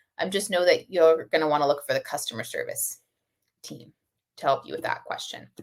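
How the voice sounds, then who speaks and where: This is a woman speaking. She goes at a fairly quick pace. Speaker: software webinar presenter. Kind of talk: webinar Q and A. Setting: online webinar. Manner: fast.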